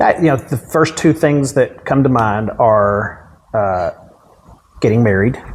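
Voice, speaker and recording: Over noticeable background noise, the speaker uses lively intonation and a very slow pace with a Texan accent. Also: man, medium pitch for a man. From Dallas area, Texas. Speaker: county judge. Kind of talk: interview answer. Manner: casual, humorous.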